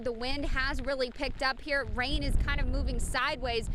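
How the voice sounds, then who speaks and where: Over noticeable background noise, a woman uses a raised, projected voice at a high pitch with lively intonation. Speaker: television news reporter. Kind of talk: broadcast news reporter delivery.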